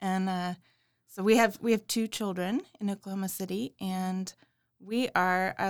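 A woman with an American accent speaks at a moderate pace in a normal speaking voice, on a very clean recording with a silent background. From Houston, Texas. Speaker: nonprofit assistant director. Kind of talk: casual chat.

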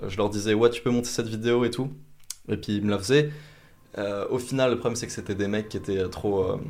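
Long, frequent pauses break up a man's fairly quick speech, delivered at a medium pitch with fairly even intonation. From France, Vosges. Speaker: YouTuber. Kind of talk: interview conversation. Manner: hesitant, many fillers.

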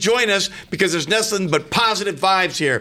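Very fast in pace, a man speaks in a raised, projected voice. His pitch is high and his tone bright and sharp. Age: 50s. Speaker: radio host. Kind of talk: radio talk show.

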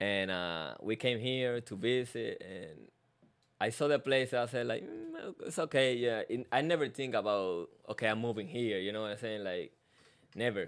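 Here a man speaks in a Puerto Rican accent. His intonation is lively. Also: medium pitch for a man, moderate pace. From Puerto Rico. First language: Spanish. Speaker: postal employee. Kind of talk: casual interview.

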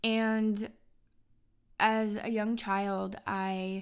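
The recording is very clean, with a silent background. A woman speaks at a medium pitch in a monotone, flat intonation. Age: 30s. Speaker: podcast host sharing life story. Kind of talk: personal testimony monologue. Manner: earnest, warm.

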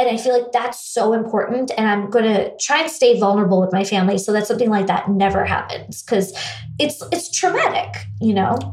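A woman with an American accent talks at a fairly quick pace in a fairly high pitch, her loudness very even, with noticeable background noise behind her. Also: lively intonation. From US, raised in India from age eight. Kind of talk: casual interview conversation.

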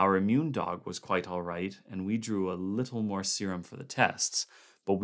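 Simple, plain reading aloud

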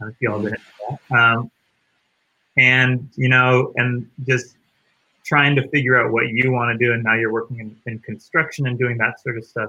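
Bright and sharp in tone, a man with an American accent speaks at a fairly slow pace in a medium pitch, his intonation monotone and flat. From US East Coast. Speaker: podcast host. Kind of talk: casual interview chat.

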